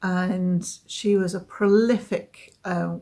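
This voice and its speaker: A woman speaks at a medium pitch in a somewhat breathy voice with monotone, flat intonation. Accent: southern English. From southeast England, Essex. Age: 50s. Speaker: knitting podcaster. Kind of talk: casual chat. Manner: hesitant, many fillers.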